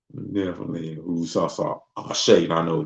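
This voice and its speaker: Speaking with a Mississippi accent, a man uses a relaxed tone at a moderate pace. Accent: Southern US, Mississippi country. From US South, Mississippi. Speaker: livestream host. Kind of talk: casual livestream chat. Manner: relaxed, conversational.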